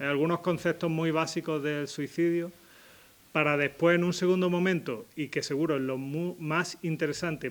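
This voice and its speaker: The man's intonation stays fairly even. He keeps to a moderate pace. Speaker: psychiatrist giving a talk. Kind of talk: public talk.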